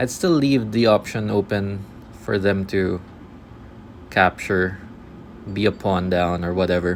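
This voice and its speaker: A man mumbles at a very slow pace with a fairly low pitch and ordinary pitch variation. Noticeable background noise is present. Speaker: chess streamer. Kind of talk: live game commentary. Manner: halting, filler-heavy; mumbling.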